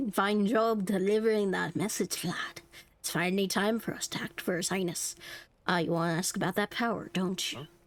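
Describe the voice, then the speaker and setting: A woman puts on a raspy character voice at a medium pitch. She moves along at a fairly quick pace. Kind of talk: gamer reading along. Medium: game stream.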